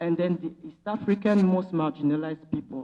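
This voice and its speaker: A woman with a Senegalese accent speaks at medium pitch in a dark, mellow tone with lively intonation. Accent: Senegalese, funky. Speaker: philanthropy program officer and activist. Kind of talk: conference panel talk. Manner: impassioned.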